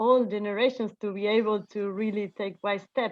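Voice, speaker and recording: This woman's voice sits fairly high in pitch. She speaks with a non-native accent. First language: not English. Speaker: event organizer. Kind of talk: group video call sharing. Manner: halting, many fillers.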